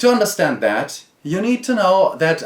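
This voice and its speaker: In a German accent, a man is talking. His pitch swings very widely. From Germany. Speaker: board game reviewer. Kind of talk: video review.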